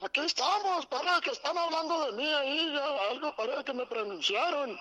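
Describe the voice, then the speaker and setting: A man uses a put-on character voice at an extremely high pitch, raised and projected. He keeps a moderate pace. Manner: playful, mock-surprised.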